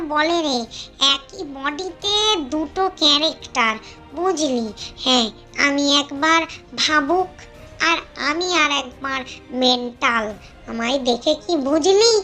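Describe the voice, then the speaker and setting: Over clear music in the background, a high-pitched cartoonish character voice speaks at a moderate pace. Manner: boastful, addresses listener familiarly.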